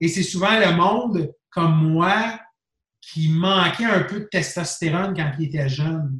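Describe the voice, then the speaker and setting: Speaking at a very slow pace, a man with a high pitch shows ordinary pitch variation. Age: 40s. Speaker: bodybuilding expert. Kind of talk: casual interview.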